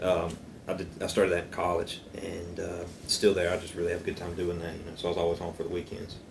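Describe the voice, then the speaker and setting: A man with a Southern US accent talks very fast in a very deep, somewhat breathy voice with monotone, flat intonation. Room echo is audible. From upstate South Carolina, moved to Athens, Georgia at twelve. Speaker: church worship leader, cigar lounge guest. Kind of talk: casual chat.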